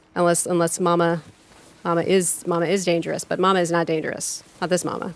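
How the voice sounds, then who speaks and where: This voice belongs to a woman. Its pitch is medium. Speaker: video game streamer. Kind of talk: live game stream chat. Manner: halting, many fillers; casual, chatty.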